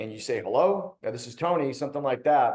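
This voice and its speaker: This man speaks with a Cleveland accent. His pace is fairly quick and his pitch variation ordinary. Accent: Cleveland, Ohio. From Cleveland, Ohio, US Midwest. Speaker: webinar host, cybersecurity executive. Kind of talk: webinar presentation. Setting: online webinar. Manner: casual, conversational.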